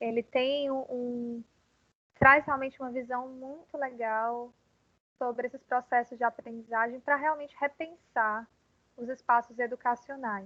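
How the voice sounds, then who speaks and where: A woman speaks at a high pitch with a bright, sharp tone and a monotone, flat intonation, at a fairly slow pace. Her loudness swings widely, and the sound is dry and close with no echo. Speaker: university lecturer. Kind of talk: online class lecture. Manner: calm, hesitant with fillers.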